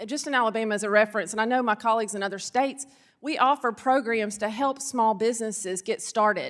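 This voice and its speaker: A woman with a Southern US accent, fairly high-pitched, fairly quick, with fairly even intonation. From Arkansas. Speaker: state securities regulator. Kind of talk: congressional hearing testimony.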